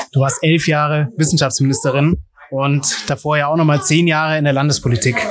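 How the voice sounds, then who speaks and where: Set against noticeable background noise, the delivery comes at a fairly quick pace with very even loudness and fairly even intonation. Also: man, fairly high pitch for a man. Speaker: podcast host. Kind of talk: interview. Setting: ice cream café. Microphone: poor sound quality.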